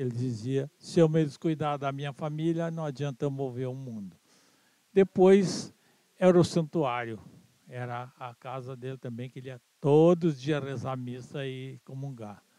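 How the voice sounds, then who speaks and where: The speech moves at a fairly slow pace in a dark, mellow tone. Loudness swings widely while the pitch varies in an ordinary way. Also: man, medium pitch for a man. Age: 80s+. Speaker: interviewee, son of movement founder. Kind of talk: interview.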